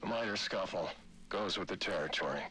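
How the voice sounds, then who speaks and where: In a put-on character voice, a man sounds raspy and weary as he talks at a fairly quick pace. Clear background noise runs underneath. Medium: video game. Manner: weary, gruff.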